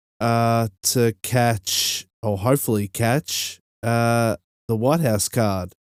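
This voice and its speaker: An Australian-accented man at a very slow pace, his loudness very even and intonation fairly even, in a dry, close sound with no echo. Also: medium pitch for a man, very clean recording, silent background. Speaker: podcast host. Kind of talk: casual podcast talk. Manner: hesitant, many fillers.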